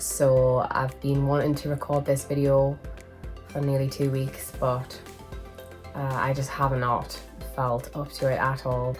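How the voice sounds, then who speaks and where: A woman speaks with long, frequent pauses. Music plays in the background. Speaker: manga collector vlogger. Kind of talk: casual vlog haul. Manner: chatty, hesitant.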